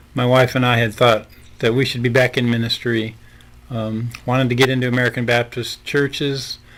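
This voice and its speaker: A man speaks with a Midwestern US accent at a medium pitch and a fairly quick pace. His tone is bright and sharp, and his intonation stays monotone and flat. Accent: US Midwest. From Nebraska. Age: 70s. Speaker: pastor. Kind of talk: podcast interview.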